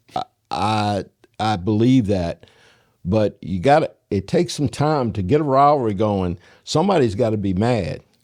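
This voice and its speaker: With a plain, everyday voice, a man speaks at a moderate pace in a fairly low pitch, his intonation lively, on a very clean recording with a silent background. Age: 60s. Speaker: high school football radio broadcaster. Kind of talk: casual interview chat.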